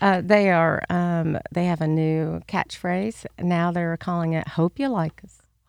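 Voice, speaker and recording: A woman with an American accent and a normal speaking voice talks at a fairly slow pace in a fairly low pitch, with hardly any pauses and fairly even intonation. Her loudness swings widely, and the sound is dry and close with no echo. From Chicago, later Alabama. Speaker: interview guest. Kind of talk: casual interview.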